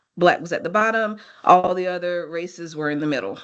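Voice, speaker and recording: A woman speaks with an ordinary speaking voice at a fairly low pitch. Her intonation stays fairly even against a quiet background. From United States. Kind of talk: lecture.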